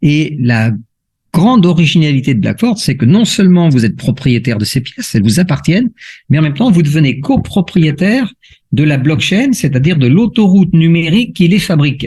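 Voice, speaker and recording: This man speaks at a fairly quick pace in a fairly high, dark, mellow voice, with very wide pitch swings but very even loudness. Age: 60s. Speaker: crypto investment promoter. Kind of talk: sales pitch. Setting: video call. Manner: explanatory, with frequent hesitations.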